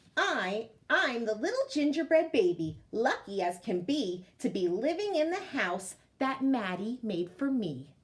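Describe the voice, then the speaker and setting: A woman does a put-on character voice that is high in pitch and sing-song, with very wide pitch swings. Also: moderate pace. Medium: read story. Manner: cocky, singsong.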